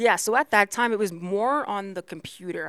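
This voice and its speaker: On a very clean recording with a silent background, a woman with a plain, everyday voice talks at a fairly quick pace with ordinary pitch variation. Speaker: graphic designer. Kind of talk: casual chat.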